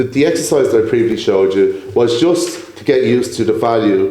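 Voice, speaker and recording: Noticeable background noise behind a man talking fairly quickly. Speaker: property entrepreneur. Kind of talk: podcast interview. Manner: fast.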